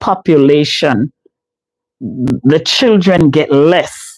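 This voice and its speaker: A woman speaks with a Jamaican accent at a very deep, low pitch. Her tone is dark and mellow. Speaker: live streamer, home care case manager. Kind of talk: casual live stream chat. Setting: live stream.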